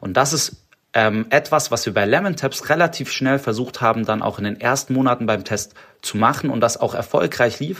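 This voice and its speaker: Ordinary pitch variation and a moderate pace mark this voice, spoken with a slight Swabian accent. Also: man, medium pitch for a man. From Stuttgart, Swabia, Germany. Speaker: startup founder. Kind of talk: interview. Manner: hesitant, many filler sounds.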